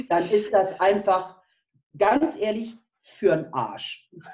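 Her voice is somewhat breathy, with a dark, mellow tone. This woman speaks at a medium pitch. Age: 50s. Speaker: nutrition and health coach. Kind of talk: interview.

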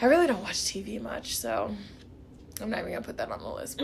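There is audible room echo and noticeable background noise. A woman speaks in an American accent. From Kansas City, Missouri. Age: 20s. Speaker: podcast host, medical student. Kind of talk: casual chat.

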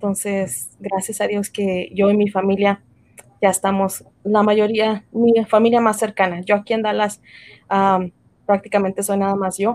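A woman's medium-pitched voice, fairly slow, with flat, monotone intonation. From Mexico, raised in the US from age five. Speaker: entrepreneur, tax and insurance business owner. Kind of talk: casual interview.

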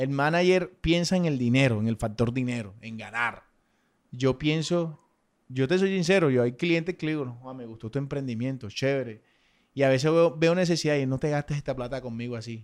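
On a very clean recording with a silent background, a man with a medium pitch speaks at a moderate pace in a normal speaking voice with ordinary pitch variation. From Colombian Caribbean coast, Sucre. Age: 30s. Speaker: social media influencer. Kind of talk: casual chat.

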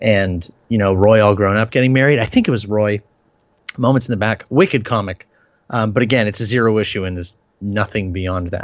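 A man with a normal speaking voice talks at a fairly quick pace. His pitch is fairly low, with ordinary variation. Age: 30s. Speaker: podcast co-host. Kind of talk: casual chat.

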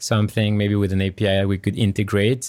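In a very clean recording with a silent background, a man speaks at a fairly low pitch. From France. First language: French. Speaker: tech startup founder and CEO. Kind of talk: interview conversation.

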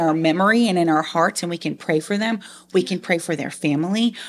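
A woman's fairly low, normal speaking voice with an American accent at a moderate pace, in a very clean recording with a silent background. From Long Island, New York. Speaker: foster parent and IT business analyst. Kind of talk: interview testimony.

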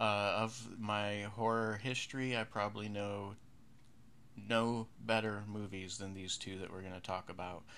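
The speaker has an American accent and a bright, sharp tone. The pace is fairly slow and the intonation fairly even. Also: man. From western New York. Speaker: horror podcast host. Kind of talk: casual podcast commentary.

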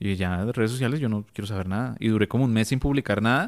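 A man with a Bogotá accent speaks at a fairly quick pace and a fairly low pitch, with fairly even intonation. The recording is very clean, with a silent background. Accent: Bogotá Colombian Spanish. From Colombia, Bogotá. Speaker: photographer and content creator. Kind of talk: interview.

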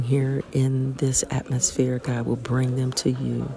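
Noticeable background noise sits behind a woman's voice. She speaks at a fairly slow pace with very deep, low pitch. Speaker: person praying. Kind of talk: fervent spoken prayer of thanks, earnest and heartfelt, addressed to God. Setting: outdoors at a mountain chapel.

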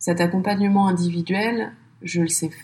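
A woman's fairly low, somewhat breathy voice with fairly even intonation at a moderate pace. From France, Paris suburbs. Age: 30s. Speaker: podcast entrepreneur. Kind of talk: interview.

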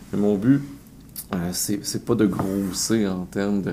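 Here a man speaks at a very slow pace with a fairly low pitch. His tone is dark and mellow. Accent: Quebec. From Quebec, south shore of Montreal. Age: 40s. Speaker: entrepreneur and author. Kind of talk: interview.

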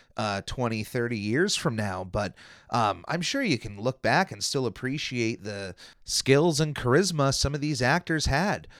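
A plain, everyday voice with lively intonation moves at a moderate pace on a very clean recording with a silent background. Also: man. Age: 30s. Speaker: podcast host. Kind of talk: solo podcast commentary. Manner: casual with frequent fillers.

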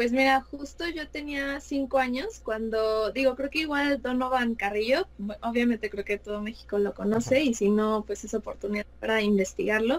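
With a plain, everyday voice, a woman talks at a moderate pace and a fairly high pitch with ordinary pitch variation. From Mexico City. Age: 20s. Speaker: fashion designer and figure skater. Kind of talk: interview.

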